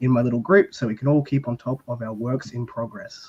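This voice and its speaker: A man with an Australian accent and a medium pitch talks at a fairly quick pace. His voice is somewhat breathy and his intonation monotone and flat. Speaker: book content creator. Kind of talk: casual panel discussion.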